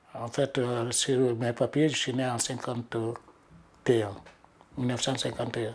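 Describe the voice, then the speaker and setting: The speech moves at a fairly slow pace with long, frequent pauses. Its intonation is monotone and flat. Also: man, medium pitch for a man. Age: 70s. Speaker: retired activist, interviewee. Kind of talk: documentary interview.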